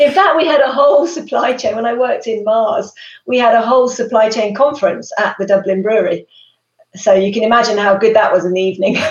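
At a very fast pace, a woman with a British accent speaks in a fairly high pitch with ordinary pitch variation. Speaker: supply chain executive. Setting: live stream.

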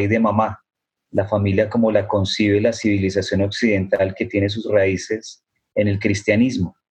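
A man with a fairly low voice talks at a moderate pace, sounding somewhat breathy. The background is quiet. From Colombia. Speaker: author and activist. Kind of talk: panel discussion. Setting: video call.

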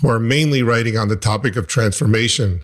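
A man's somewhat breathy voice at medium pitch, with ordinary pitch variation and a fairly quick pace. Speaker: physician and podcast host. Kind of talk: interview.

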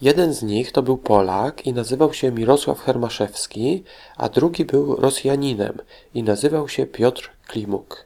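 A man talks at a fairly slow pace in a dark, mellow tone. The recording is very clean, with a silent background. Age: 40s. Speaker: children's history podcast host. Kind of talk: educational talk for children.

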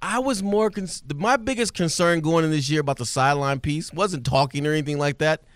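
A man talks at a fairly quick pace in a fairly high voice with lively intonation. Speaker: sideline reporter, former player. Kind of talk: phone interview. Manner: fast.

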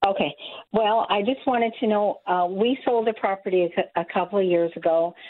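With an American accent, a woman talks at a moderate pace and with ordinary pitch variation. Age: 60s. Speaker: caller. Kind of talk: call-in question. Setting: phone call. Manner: halting.

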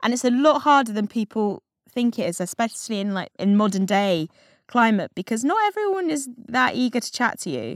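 A fairly high-pitched woman in an English accent, fairly quick and lively in intonation, with a dry, close sound and no echo. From England. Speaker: magazine politics editor and podcast host. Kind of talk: book club discussion.

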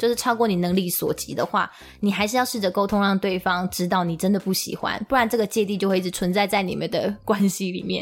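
Words come at a very fast pace with hardly any pauses. The intonation stays fairly even. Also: woman, medium pitch for a woman. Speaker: podcast co-host. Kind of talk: casual chat.

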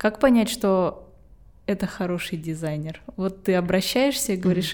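A woman talks at a medium pitch, the recording very clean and the background silent. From Estonia. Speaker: podcast host. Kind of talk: interview conversation.

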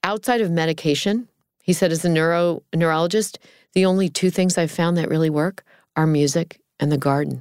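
A woman with an ordinary speaking voice and a fairly low pitch talks at a fairly quick pace on a very clean recording with a silent background. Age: 50s. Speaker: caregiver and military family foundation founder. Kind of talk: interview conversation.

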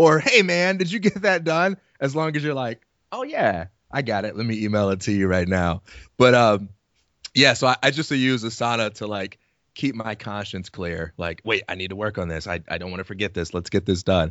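Speaking at a moderate pace, a man uses lively intonation at a fairly low pitch. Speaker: podcast co-host. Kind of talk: casual chat.

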